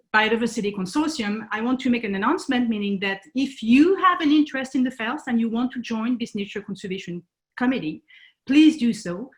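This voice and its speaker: This woman talks fairly quickly with a French accent and lively intonation. Her pitch is fairly high. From France. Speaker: conservation nonprofit founder. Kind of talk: presentation talk. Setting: video call. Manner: halting, many fillers.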